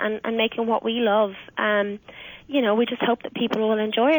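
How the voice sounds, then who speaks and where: At a moderate pace, a woman speaks at a fairly high pitch. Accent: Irish. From Ireland. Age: 20s. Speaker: singer. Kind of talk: radio interview answer.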